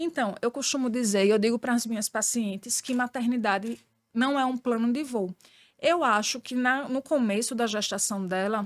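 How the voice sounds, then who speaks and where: A woman speaks at a moderate pace in a strong northeastern Brazilian accent, her fairly high voice showing ordinary pitch variation. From Brazilian Northeast. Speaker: pediatrician. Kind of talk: podcast interview.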